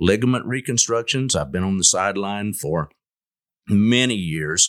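On a very clean recording with a silent background, a man with a Texan accent talks at a moderate pace in a fairly low voice with lively intonation. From West Texas (Lubbock area). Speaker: orthopedic surgeon. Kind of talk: casual interview.

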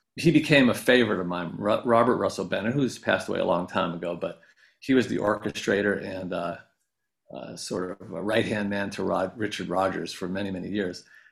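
A man with an American accent talks at a fairly quick pace in a plain, everyday voice. His pitch is fairly low, and his loudness swings widely. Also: ordinary pitch variation, very clean recording, silent background. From upstate New York. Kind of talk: interview.

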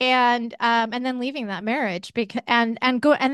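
A woman at a moderate pace has a plain, everyday voice, pitched fairly high. The sound is dry and close with no echo, over a quiet background. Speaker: podcast host and former caregiver. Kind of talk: interview.

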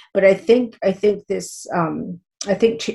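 A woman's dark, mellow, somewhat breathy voice at a medium pitch. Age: 50s. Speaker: teacher. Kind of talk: interview. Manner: halting, with many repetitions and fillers.

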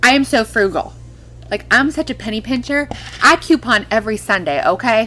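A woman with an American accent, fairly high pitch, lively intonation and a fairly quick pace, over noticeable background noise. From California. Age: 30s. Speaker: former adult film performer, wellness entrepreneur. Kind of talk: casual chat.

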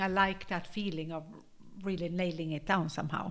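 Speaking at a moderate pace, a woman with a fairly low pitch uses an ordinary speaking voice with ordinary pitch variation, on a very clean recording with a silent background. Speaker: podcast co-host and health workshop leader. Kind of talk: casual chat.

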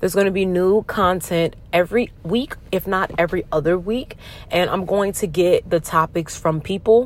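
This woman has a plain, everyday voice, medium in pitch with ordinary pitch variation, delivered at a moderate pace. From US South, Norfolk, Virginia. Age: 20s. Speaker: podcast host, soldier. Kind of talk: casual monologue.

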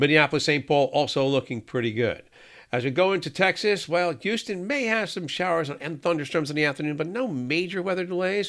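A man with a fairly high pitch speaks at a moderate pace with lively intonation, in a plain, everyday voice. The recording is very clean, with a silent background. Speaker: meteorologist. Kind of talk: solo weather forecast rundown of airport hubs. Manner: brisk, upbeat forecaster cadence with occasional 'uh' fillers; friendly, reassuring sign-off tone.

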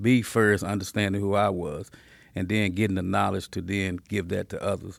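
In an American accent, a man talks at a moderate pace with fairly even intonation and a fairly low pitch, in an ordinary speaking voice. The recording is very clean, with a silent background. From South Dallas, Texas. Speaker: community leader, former gang member. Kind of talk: interview conversation.

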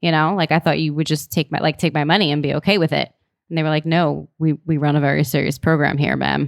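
With vocal fry and a very deep, low pitch, a woman speaks at a very fast pace in very even loudness. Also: fairly even intonation. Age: 30s. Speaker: student pilot and ground instructor. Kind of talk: casual chat.

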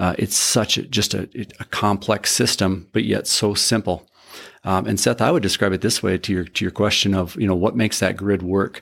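On a very clean recording with a silent background, a man with an Upper Midwest accent speaks at a fairly low pitch and moderate pace, with vocal fry, ordinary pitch variation and very even loudness. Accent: Upper Midwest American. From North Dakota (Carrington). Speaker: electric utility industry expert. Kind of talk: interview.

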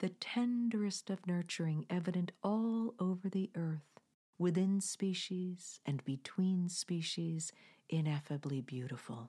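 A soothing tone comes at a fairly slow pace on a very clean recording with a silent background. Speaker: podcast host. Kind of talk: guided meditation with nature-documentary-style narration. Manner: slow, hushed, reverent; lyrical, soothing, measured cadence.

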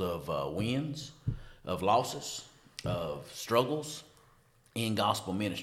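Room echo surrounds a man's fairly low voice. His intonation is lively. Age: 40s. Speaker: pastor and podcast host. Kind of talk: casual chat.

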